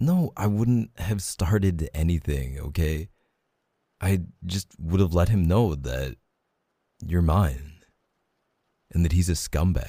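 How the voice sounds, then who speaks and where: Very deep and low in pitch, a man speaks very slowly with long, frequent pauses, ordinary pitch variation, a dark, mellow tone and a warm, playful tone. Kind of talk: romantic roleplay monologue, tender reassurance. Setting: ASMR roleplay audio, intimate close-mic. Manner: soft, warm, tender and reassuring, intimate, slow and sincere; playful and teasing, with laughs and sighs.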